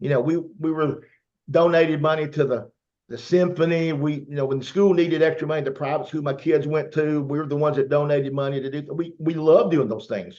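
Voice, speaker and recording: In a Southern US accent, a man talks at a fairly quick pace with a dark, mellow tone and fairly even intonation. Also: fairly high pitch for a man. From US South. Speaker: network marketer. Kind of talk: testimony.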